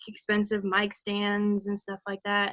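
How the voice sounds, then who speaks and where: Speaking at a fairly slow pace, a woman with a slight Southern US accent has a fairly high pitch. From Virginia, US South. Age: 18. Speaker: voice actor. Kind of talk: casual chat. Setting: live stream.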